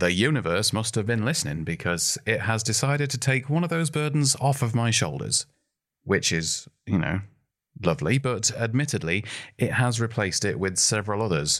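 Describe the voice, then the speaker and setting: Lively intonation runs through a man's ordinary speaking voice at a moderate pace. The recording is very clean, with a silent background. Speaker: podcast host and comedian. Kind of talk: stand-up comedy clip. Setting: recorded at home in lockdown.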